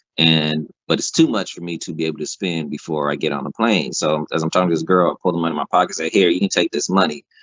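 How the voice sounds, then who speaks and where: An animated man with a very deep, low pitch and an American accent talks very fast with ordinary pitch variation. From United States. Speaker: guest telling a travel story. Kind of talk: casual chat, storytelling.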